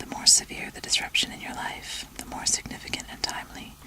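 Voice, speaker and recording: A woman whispers at a fairly quick pace. Background noise is noticeable. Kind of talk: rune reading, relaxation. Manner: whispered, soft.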